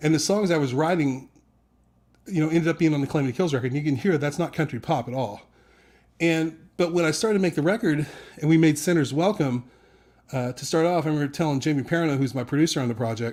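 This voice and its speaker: Speaking at a very fast pace with long, frequent pauses, a man with a fairly high pitch is heard in a very clean recording with a silent background. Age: 50s. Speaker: rock singer. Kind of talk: interview.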